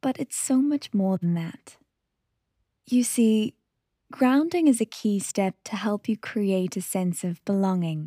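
At a fairly slow pace, a woman of medium pitch speaks in a calm, soothing tone that is dark, mellow and somewhat breathy, with a dry, close sound and no echo. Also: lively intonation, very clean recording, silent background. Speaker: meditation podcast host. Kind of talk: guided meditation. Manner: calm, slow, soothing; gentle, unhurried, with long pauses.

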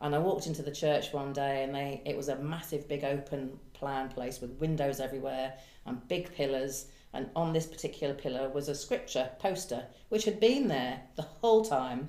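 A woman speaks in a dark, mellow tone at a very deep, low pitch with ordinary pitch variation, and the room echo is audible. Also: moderate pace. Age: 60s. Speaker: hairdresser and counsellor. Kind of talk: testimony.

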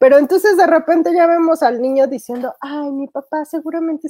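The sound is close and dry, without echo. A woman talks with pitch that varies in an ordinary way. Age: 30s. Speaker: film podcast co-host. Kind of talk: casual chat.

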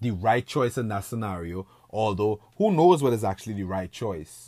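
A man's dark, mellow voice, dry and close with no echo, on a very clean recording with a silent background. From Trinidad and Tobago. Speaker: podcast host. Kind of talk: monologue. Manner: casual.

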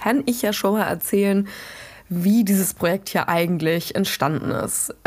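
A woman's unremarkable speaking voice at a medium pitch and moderate pace, ordinary in pitch variation, in a very clean recording with a silent background. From western Germany, Dutch border region. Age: 20s. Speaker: podcast host and student activist. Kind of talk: solo podcast monologue. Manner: casual, with frequent fillers.

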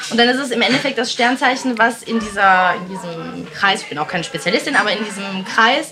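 Woman at a fairly high pitch over noticeable background noise. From East Belgium. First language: not German (speaking German). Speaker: entrepreneur and mother. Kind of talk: casual chat.

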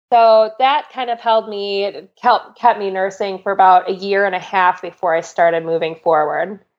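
A woman speaks in an unremarkable speaking voice at a medium pitch with ordinary pitch variation. Her pace is moderate, with hardly any pauses. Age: 30s. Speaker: medical student and former ICU nurse. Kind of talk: interview conversation.

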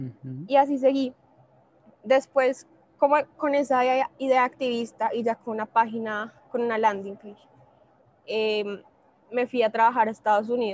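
Pitched fairly high, a woman speaks at a moderate pace with fairly even intonation and long, frequent pauses. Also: big swings in loudness. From Colombia, Bogotá. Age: 20s. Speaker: social entrepreneur, company founder. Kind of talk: interview.

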